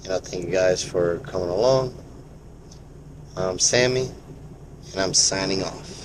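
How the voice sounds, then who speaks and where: Speaking fairly slowly with long, frequent pauses, a man with a very deep, low voice is heard in a room with audible echo. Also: ordinary pitch variation. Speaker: vlog guest. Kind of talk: casual vlog talk. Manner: halting.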